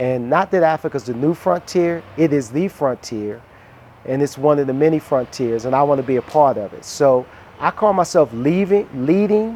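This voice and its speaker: Speaking with an American accent, a man in a relaxed tone uses a fairly high pitch and ordinary pitch variation at a moderate pace, with noticeable background noise. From US, Washington DC. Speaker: relocated entrepreneur. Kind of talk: casual interview and home tour. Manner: relaxed, frequent fillers.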